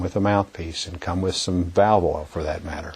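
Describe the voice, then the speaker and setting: A man talks at a fairly quick pace in a very deep, low pitch, somewhat breathy. His intonation is monotone and flat. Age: 60s. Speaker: music education trainer. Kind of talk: instructional talk to teachers. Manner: halting, many fillers and repetitions.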